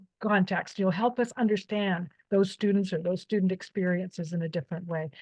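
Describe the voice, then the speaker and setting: A woman's somewhat breathy voice at medium pitch, fairly quick in pace, with fairly even intonation. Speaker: nursing professor and author. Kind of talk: academic presentation.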